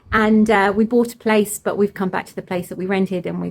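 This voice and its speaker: A woman's voice with vocal fry. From Cornwall, England (moved around). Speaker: homesteader vlogger. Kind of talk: casual vlog talk to camera. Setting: in a barn on a farm.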